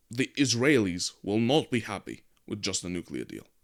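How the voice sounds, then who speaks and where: In a very clean recording with a silent background, a man at medium pitch uses lively intonation and vocal fry. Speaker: political commentary show host. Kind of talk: news commentary monologue. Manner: hesitant with filler words.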